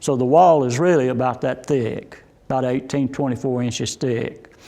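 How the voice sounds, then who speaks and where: Here a man speaks with a Southern Appalachian accent. His pitch is medium, with ordinary pitch variation. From Saluda, North Carolina. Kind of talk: oral history interview. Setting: inside a church.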